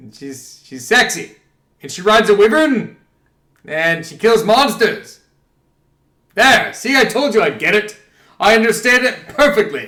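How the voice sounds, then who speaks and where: A man's raised, projected voice, high in pitch with a bright, sharp tone, at a fairly slow pace broken by long, frequent pauses. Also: big swings in loudness. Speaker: gaming streamer. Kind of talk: live gameplay commentary. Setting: live stream. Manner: loud; animated.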